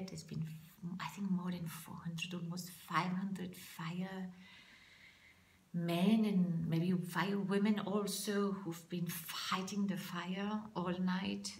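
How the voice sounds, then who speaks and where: Speaking very slowly in a French accent, a woman keeps a monotone, flat intonation at medium pitch, with audible room echo. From France. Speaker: public speaking coach. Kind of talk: vlog monologue. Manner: halting.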